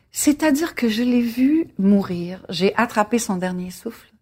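A woman's somewhat breathy voice at a very slow pace, on a very clean recording with a silent background. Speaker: singer. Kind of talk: casual interview over dinner.

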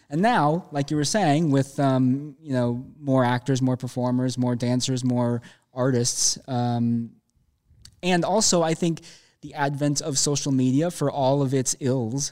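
With an American accent, a man of medium pitch speaks at a fairly slow pace in a dark, mellow tone and fairly even intonation, on a very clean recording with a silent background. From Minnesota, Minneapolis. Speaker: theater director. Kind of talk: interview. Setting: dance studio.

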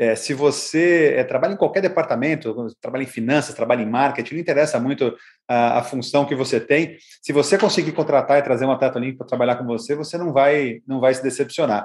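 A man talks at a very fast pace in a fairly high pitch. His pitch varies in an ordinary way. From Brazil, São Paulo. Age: 50s. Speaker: marketing consultant. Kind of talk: interview. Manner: halting.

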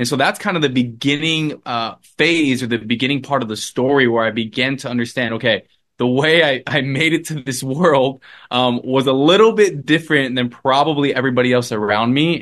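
Against a quiet background, a man in a normal speaking voice talks fairly quickly at a medium pitch with ordinary pitch variation. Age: 20s. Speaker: revivalist and ministry co-founder. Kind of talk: interview testimony.

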